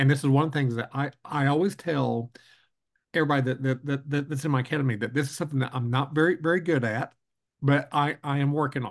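Against a quiet background, a man with an American accent speaks very fast in a fairly high voice with fairly even intonation. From Oklahoma, Lawton. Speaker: podcast host, school association director. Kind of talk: interview conversation. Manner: halting, many fillers and repeats.

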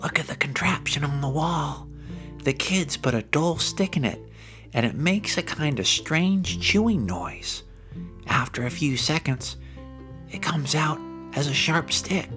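Over clear background music, a man does a put-on character voice at a fairly high pitch and a moderate pace. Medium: read story. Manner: eager, excitable.

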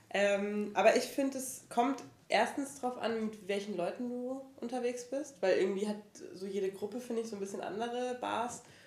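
Noticeable background noise sits behind a woman whose fairly high voice shows ordinary pitch variation at a moderate pace. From Franconia, Germany. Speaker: podcaster. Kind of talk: casual chat.

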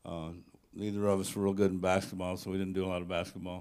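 A man's fairly low-pitched voice with an American accent. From US South (Tennessee). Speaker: church member introducing the speaker. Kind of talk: speaker introduction. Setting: church. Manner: halting.

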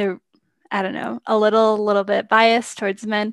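The sound is dry and close with no echo, on a very clean recording with a silent background. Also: woman. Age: 20s. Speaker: software engineer. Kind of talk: interview. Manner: filler-heavy, lots of um and like.

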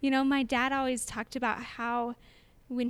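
In a very clean recording with a silent background, a woman with an American accent speaks at a high pitch. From Utah, US. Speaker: photographer and conference founder. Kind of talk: casual interview. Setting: conference venue, in person.

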